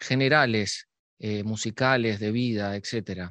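With a Uruguayan accent and a medium pitch, a man speaks fairly slowly in a dry, close recording with no echo and a quiet background. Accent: Rioplatense Spanish (Uruguayan). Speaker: podcast host. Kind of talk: interview; scripted introduction.

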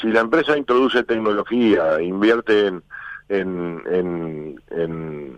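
This man talks with lively intonation, and the sound is dry and close with no echo. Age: 60s. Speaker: union leader. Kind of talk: radio interview. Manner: halting.

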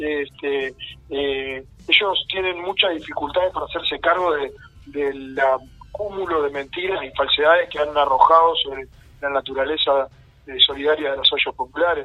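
Fairly high male pitch, fairly even intonation and a moderate pace from a man. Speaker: community activist. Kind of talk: radio interview. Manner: halting, many fillers and repetitions.

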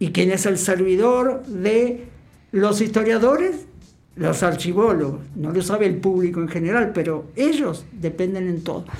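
Lively intonation marks a woman's medium-pitched voice at a fairly slow pace. Audible room echo surrounds her. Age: 60s. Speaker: archivist and university lecturer. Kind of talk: radio interview. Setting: radio studio.

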